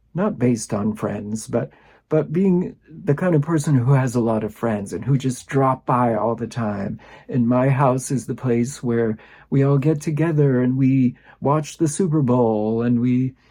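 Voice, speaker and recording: Against a quiet background, a man speaks at a fairly slow pace with a medium pitch, a dark, mellow tone and ordinary pitch variation. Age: 60s. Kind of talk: personal reflection talk to camera.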